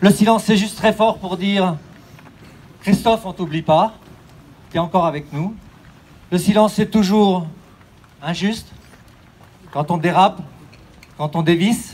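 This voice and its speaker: A man talks in a high voice at a fairly slow pace, his intonation fairly even. He leaves long, frequent pauses. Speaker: race announcer. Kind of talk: solemn speech. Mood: solemn, poetic, reflective. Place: street.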